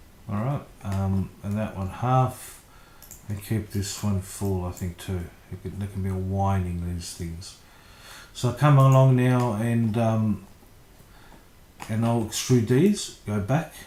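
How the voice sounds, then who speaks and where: Fairly low and somewhat breathy, a man's voice has a dark, mellow tone and ordinary pitch variation. He moves at a fairly slow pace with long, frequent pauses. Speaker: architectural designer. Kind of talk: tutorial. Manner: casual, hesitant with fillers.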